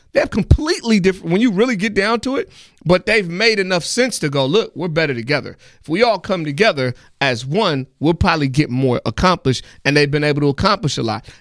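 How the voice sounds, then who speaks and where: Someone talks at a very fast pace with lively intonation and an American accent, recorded very cleanly against a silent background. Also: man. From US Pacific Northwest, Seattle. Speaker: musician and rapper. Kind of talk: casual interview. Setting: studio.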